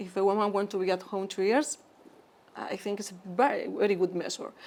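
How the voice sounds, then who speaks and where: At a fairly quick pace, a woman of medium pitch speaks with a Spanish accent and ordinary pitch variation. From Spain. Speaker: physician, interventional endoscopist. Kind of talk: interview conversation.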